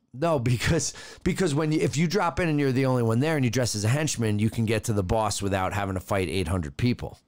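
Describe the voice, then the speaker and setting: A man of medium pitch talks at a very fast pace, his pitch swinging very widely while his loudness stays very even. The recording is very clean, with a silent background. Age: 30s. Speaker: podcast co-host. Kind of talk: casual chat.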